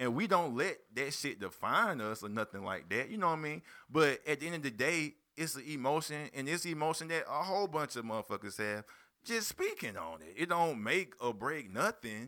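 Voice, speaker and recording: On a very clean recording with a silent background, a man with an American accent speaks at a moderate pace in a bright, sharp tone, his fairly high voice showing vocal fry and very wide pitch swings. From South Carolina (Spartanburg/Union). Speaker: rapper and label owner. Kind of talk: casual interview chat.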